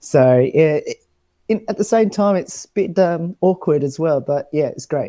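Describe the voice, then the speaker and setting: A man's dark, mellow voice with an Australian accent and lively intonation, dry and close with no echo. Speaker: travel show presenter. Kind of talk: casual chat. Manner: hesitant, many fillers.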